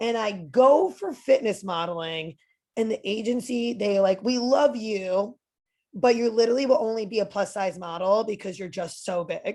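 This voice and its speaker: An animated tone in a strong New Jersey accent, at a moderate pace with ordinary pitch variation. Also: woman, fairly high pitch for a woman. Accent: thick New Jersey. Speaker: personal trainer and motivational speaker. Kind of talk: podcast interview.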